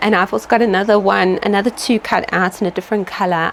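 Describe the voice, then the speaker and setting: A woman speaks at medium pitch and a fairly quick pace. There is noticeable background noise. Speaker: small business owner and sewing vlogger. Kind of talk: casual vlog. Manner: animated; fast.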